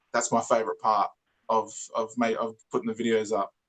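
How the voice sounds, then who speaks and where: A man with an Australian accent, recorded dry and close with no echo. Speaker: toy reviewer YouTuber. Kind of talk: casual interview chat. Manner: stutters and repeats words.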